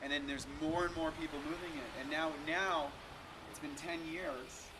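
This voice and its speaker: A man's fairly high voice at a moderate pace, monotone and flat, with audible room echo and noticeable background noise. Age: 40s. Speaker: raw vegan bodybuilder. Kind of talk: interview. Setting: at a health expo.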